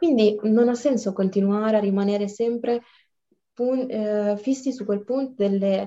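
A woman speaks at a fairly slow pace in a dark, mellow tone. Her pitch is fairly high. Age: 20s. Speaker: law student. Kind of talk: casual chat.

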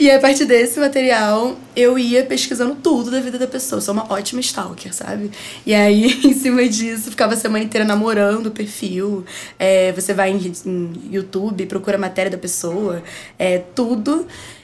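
A woman speaks at a moderate pace with a fairly high pitch and ordinary pitch variation, with noticeable background noise behind her. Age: 20s. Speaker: advertising student and music marketing agency founder. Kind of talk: casual chat.

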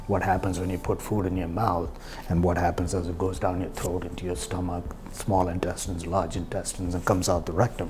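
A man with a very deep, low voice talks at a fairly quick pace. Room echo is audible, along with noticeable background noise. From southern India. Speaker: physician. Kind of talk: personal storytelling monologue. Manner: hesitant with fillers.

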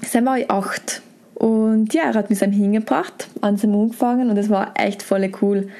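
A woman speaks with a South Tyrolean accent at a medium pitch. Her pace is moderate and her intonation fairly even. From South Tyrol, Brixen. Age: 20s. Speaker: former competitive climber and bike guide. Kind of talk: interview. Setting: hotel.

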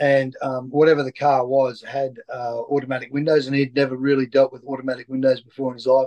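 With an Australian accent, a man rattles along at a very fast pace in a flat monotone at medium pitch, his loudness swinging widely in a dry, close sound with no echo. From Queensland, Lockyer Valley. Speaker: former rugby player and coach. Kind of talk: interview. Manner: halting, many fillers.

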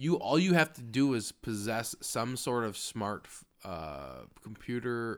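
A man speaks in a plain, everyday voice at medium pitch with an American accent, at a fairly slow pace. The recording is very clean with a silent background. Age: 20s. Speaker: podcast co-host. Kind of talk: casual chat.

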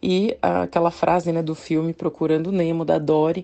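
A woman's ordinary speaking voice, fairly low in pitch, at a moderate pace. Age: 30s. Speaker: nutritionist and podcast host. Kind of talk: casual monologue podcast.

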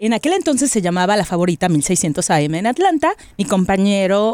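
A woman's medium-pitched voice with very wide pitch swings, recorded very cleanly over a silent background. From Mexico, Monterrey. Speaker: podcast host, radio presenter. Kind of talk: casual chat.

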